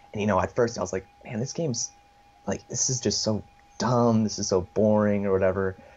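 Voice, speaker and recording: Speaking at a fairly quick pace in an American accent, a man is heard against noticeable background noise. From USA. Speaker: gaming community organizer. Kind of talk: interview.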